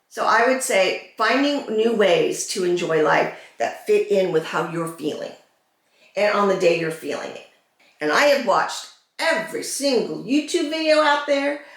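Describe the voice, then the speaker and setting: With audible room echo, a woman speaks at a high pitch with very wide pitch swings. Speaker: vlogger with cancer. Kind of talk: get-ready-with-me vlog. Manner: slow, slightly slurred; halting, searching for words.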